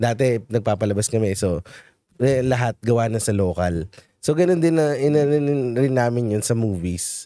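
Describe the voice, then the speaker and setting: Speaking at a moderate pace, a man with a medium pitch and a dark, mellow tone uses lively intonation and very even loudness, in a dry sound with no echo over a quiet background. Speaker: show host and media producer; show host. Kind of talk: casual chat. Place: studio. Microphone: studio mic.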